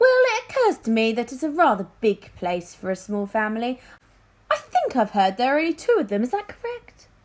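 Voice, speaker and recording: Delivered at a fairly quick pace, the put-on character voice is breathy. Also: woman, high pitch for a woman. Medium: read story. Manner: airy, evasive.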